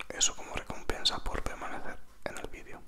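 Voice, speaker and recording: Over loud background noise, a soft-spoken man whispers at a very fast pace. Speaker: ASMR creator. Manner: soft close-mic ASMR whisper. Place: home room. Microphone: handheld.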